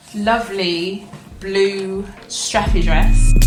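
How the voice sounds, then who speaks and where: Music plays in the background with audible room echo. A woman speaks at a medium pitch. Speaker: sewing vlogger. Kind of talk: casual vlog show-and-tell.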